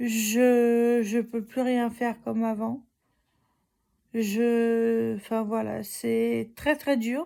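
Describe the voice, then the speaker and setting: A very slow pace, a dark, mellow tone, and monotone, flat intonation. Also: woman, fairly high pitch for a woman. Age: 30s. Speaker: vlogger. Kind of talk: casual vlog. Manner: halting.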